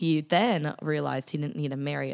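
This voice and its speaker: This woman has a very deep, low voice and an American accent. Her pitch varies in an ordinary way. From US Southwest and California/Texas. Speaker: podcast guest. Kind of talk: casual chat.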